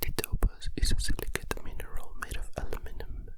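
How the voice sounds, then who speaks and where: Whispering over noticeable background noise. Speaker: ASMR content creator. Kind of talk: ASMR whisper reading of encyclopedia articles. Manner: whispered, close-mic.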